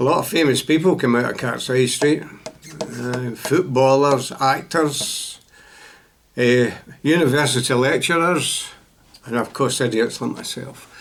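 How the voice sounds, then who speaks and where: With a Glaswegian accent, a man speaks at a fairly slow pace and medium pitch, his intonation fairly even and broken by long, frequent pauses, over noticeable background noise. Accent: Glaswegian Scottish. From Scotland, Glasgow south side. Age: 80s+. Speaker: storyteller sharing life memories. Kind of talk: personal life story. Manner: halting, with many fillers.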